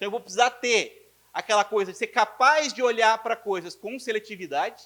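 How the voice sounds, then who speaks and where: A man with a high pitch and ordinary pitch variation uses a raised, projected voice with an animated, bright, sharp tone. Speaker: physicist lecturer. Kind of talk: lecture. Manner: fast.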